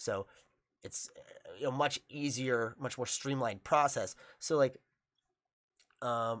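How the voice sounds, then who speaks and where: With an American accent, a man speaks at a very slow pace and medium pitch, with fairly even intonation, big swings in loudness and long, frequent pauses. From New York, Long Island. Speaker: jiu-jitsu instructor. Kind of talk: casual chat. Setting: studio. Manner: halting, many fillers.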